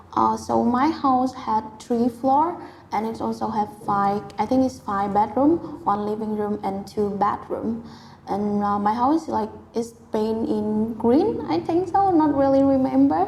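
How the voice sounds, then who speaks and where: Her fairly high voice comes at a fairly slow pace as the woman talks. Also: lively intonation. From Vietnam. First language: Vietnamese. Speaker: IELTS test candidate. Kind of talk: speaking exam interview. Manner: hesitant, with filler sounds.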